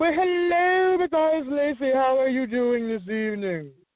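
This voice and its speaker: A man puts on a character voice. It is extremely high-pitched and moderately paced. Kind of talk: bougie, posh. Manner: polite, greeting.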